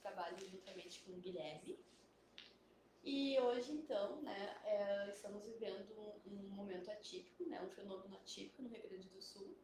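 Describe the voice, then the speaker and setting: With audible room echo, a soft-spoken woman talks at a medium pitch and a fairly slow pace with ordinary pitch variation. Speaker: biologist. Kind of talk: live stream interview. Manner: hesitant, many fillers. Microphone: too quiet at first, mic adjusted.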